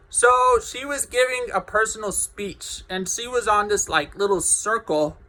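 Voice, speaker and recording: Raising and projecting his voice, a man with a bright, sharp tone speaks at a fairly slow pace with ordinary pitch variation. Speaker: vlogger. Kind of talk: personal vlog monologue. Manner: halting.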